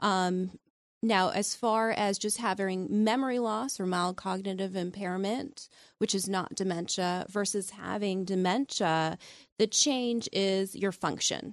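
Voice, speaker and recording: A woman speaks in an ordinary speaking voice at a fairly slow pace, her medium pitch held to fairly even intonation. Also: quiet background. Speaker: physician in geriatric training. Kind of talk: call-in radio medical Q&A. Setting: studio.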